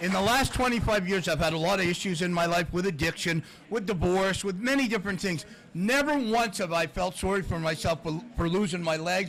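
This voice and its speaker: A high-pitched man with a Canadian accent talks at a fairly quick pace with ordinary pitch variation and very even loudness over noticeable background noise. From Canada, Toronto area. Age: 60s. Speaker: former hockey goaltender, motivational speaker. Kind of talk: podcast interview, storytelling. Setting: live taping at a sports bar with audience.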